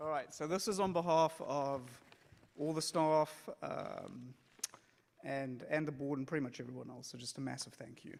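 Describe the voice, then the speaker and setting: With a South African accent, a man speaks at a moderate pace in a fairly high voice, his pitch varying in an ordinary way and his loudness swinging widely. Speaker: synagogue executive director. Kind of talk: presentation speech. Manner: casual.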